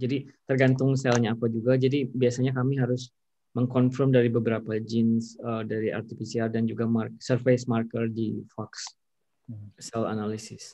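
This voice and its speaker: A man speaks in a dark, mellow tone at a moderate pace. His intonation is monotone and flat, with a quiet background. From Indonesia. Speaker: pharmaceutical research scientist; scientist lecturer. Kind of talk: lecture; Q&A answers. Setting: video call. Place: home room. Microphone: video call.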